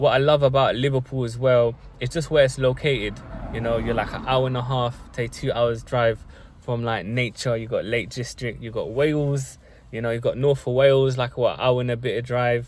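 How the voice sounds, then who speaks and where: A man with a London accent talks at a moderate pace in a medium pitch, his intonation monotone and flat. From South London. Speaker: vlogger. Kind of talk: casual monologue to camera. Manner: casual, with many fillers.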